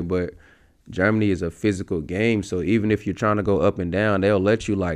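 A man with an American accent speaks at a moderate pace in a plain, everyday voice. His pitch sits fairly low and his intonation stays fairly even against a quiet background. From US Midwest, St. Louis area. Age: 30s. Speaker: professional basketball player. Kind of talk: casual interview.

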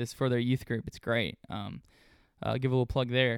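A man with a Southern US accent is heard in a dry, close sound with no echo. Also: very clean recording, silent background. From US South, Memphis and north Mississippi. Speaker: podcast co-host. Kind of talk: casual chat. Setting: home recording.

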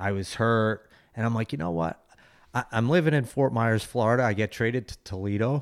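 In a normal speaking voice, a man talks at a medium pitch with ordinary pitch variation. His pace is fairly quick, and the recording is very clean with a silent background. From Philadelphia, US. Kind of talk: interview.

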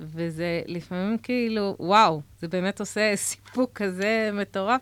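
On a very clean recording with a silent background and a dry, close sound with no echo, a woman speaks at a medium pitch with ordinary pitch variation. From Israel, Haredi community. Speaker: social entrepreneur. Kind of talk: radio interview. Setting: radio studio, wearing masks. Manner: halting.

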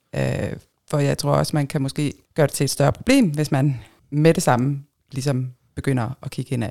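Speaking at a moderate pace with long, frequent pauses, a woman uses a very deep, low pitch, a dark, mellow tone, vocal fry and fairly even intonation. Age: 40s. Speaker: swinger guest. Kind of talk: casual chat.

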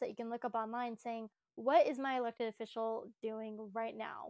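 Woman with an ordinary speaking voice, fairly high in pitch, at a moderate pace, on a very clean recording with a silent background. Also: dry, close sound with no echo. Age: 20s. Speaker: activist. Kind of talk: podcast interview.

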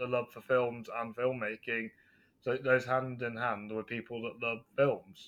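With a West Midlands accent, a man talks at a moderate pace. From England, West Midlands. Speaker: film reviewer podcaster. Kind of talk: casual chat.

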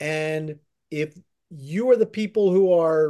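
A high-pitched man with an American accent and a dark, mellow tone against a quiet background. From central Pennsylvania, Harrisburg area. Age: 50s. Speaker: baseball journalist. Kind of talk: interview.

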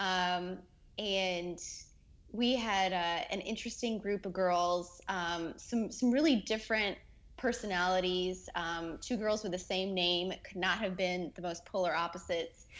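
A woman with a normal speaking voice at medium pitch, fairly slow in pace, her intonation fairly even. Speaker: former theme park cast member. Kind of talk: casual chat.

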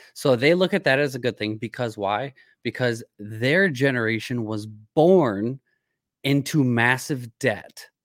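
On a very clean recording with a silent background and a dry, close sound with no echo, a man with an unremarkable speaking voice talks fairly slowly at medium pitch with ordinary pitch variation. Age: 30s. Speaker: podcast host. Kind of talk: casual chat; sales pitch.

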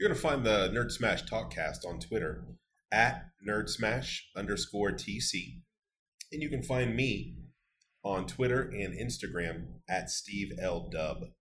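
Speaking at a fairly slow pace, a man with vocal fry sends his pitch through very wide swings. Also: fairly low pitch for a man. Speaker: podcast co-host. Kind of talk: casual chat.

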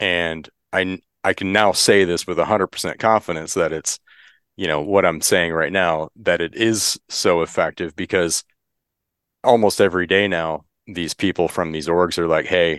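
A man with an American accent, very deep and low in pitch, at a moderate pace with fairly even intonation, dry and close with no echo, quiet background. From Michigan. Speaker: hunting advocacy group president and hunting guide. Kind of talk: casual interview.

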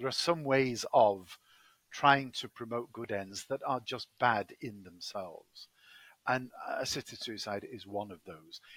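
A man's medium-pitched voice with an English accent at a fairly slow pace, big swings in loudness, and a dry, close sound with no echo. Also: ordinary pitch variation. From Manchester, England. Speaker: law professor and ethicist. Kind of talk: expert interview. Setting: call from the UK.

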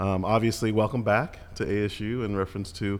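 This is a man talking. His pitch is fairly low. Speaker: city official and former college football player. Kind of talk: casual interview. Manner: halting, many fillers.

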